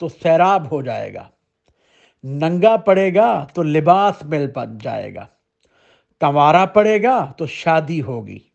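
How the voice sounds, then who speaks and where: A man speaks with a high pitch and lively intonation. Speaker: Islamic scholar. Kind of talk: religious sermon / teaching.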